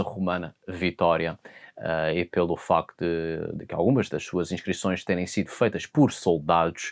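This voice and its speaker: At a fairly slow pace, the speaker talks in a European Portuguese accent on a very clean recording with a silent background. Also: man. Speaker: mythology and folklore educator. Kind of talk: educational talk on mythology. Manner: hesitant, with fillers.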